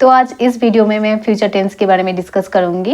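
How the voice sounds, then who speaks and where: Speaking at a moderate pace, a woman with a Bengali accent uses a medium pitch and fairly even intonation. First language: Bengali (speaking Hindi). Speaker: English grammar teacher. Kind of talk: tutorial.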